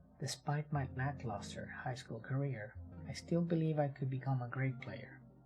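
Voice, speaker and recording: Over music in the background, the speaker keeps a calm, gentle tone at a moderate pace. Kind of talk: ASMR book reading. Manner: calm, gentle rhythm.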